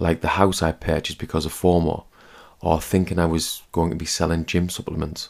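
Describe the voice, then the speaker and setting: In a British accent, the speaker talks at a fairly quick pace with monotone, flat intonation. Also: man. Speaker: personal finance podcaster. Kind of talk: scripted narration.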